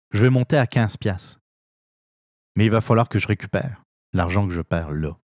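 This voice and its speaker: On a very clean recording with a silent background, a man with a fairly low pitch speaks at a moderate pace with long, frequent pauses and ordinary pitch variation, the sound dry and close with no echo. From France. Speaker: political podcast host. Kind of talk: opinion commentary monologue. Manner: hesitant, frequent fillers and repetitions.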